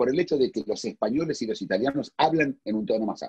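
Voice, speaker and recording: Talking at a fairly quick pace, a man with a fairly high pitch and a dark, mellow tone makes very wide pitch swings, the sound dry and close with no echo. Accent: Argentine. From Argentina. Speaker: philosopher. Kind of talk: casual chat. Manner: loud; halting.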